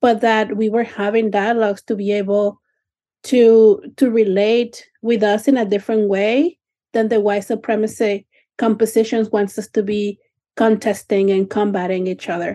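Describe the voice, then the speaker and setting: A woman with a Spanish accent speaks at a fairly high pitch in a dark, mellow tone, with monotone, flat intonation and a moderate pace. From Mexico City. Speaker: nonprofit operator, guest co-host. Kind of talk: radio panel discussion.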